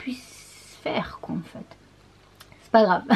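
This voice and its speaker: Over noticeable background noise, a woman speaks in an animated tone. Her intonation is lively. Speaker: beauty vlogger. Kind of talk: casual vlog talk to camera. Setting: small bathroom at home. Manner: animated, hesitant with many fillers.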